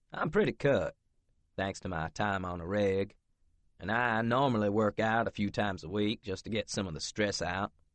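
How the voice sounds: A natural reading voice carries the words with fairly even intonation.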